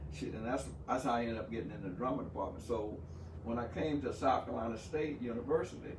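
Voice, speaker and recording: A medium-pitched man at a very fast pace, with noticeable background noise. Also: lively intonation. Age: 70s. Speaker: pastor, combat veteran, playwright and actor. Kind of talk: interview answer.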